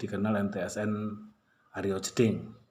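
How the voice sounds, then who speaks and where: A man with a slight Malang accent, in audible room echo. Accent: slight Malang Javanese accent, stiff. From Malang, East Java, Indonesia. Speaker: high school teacher. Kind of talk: class introduction to students. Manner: casual, warm address to pupils.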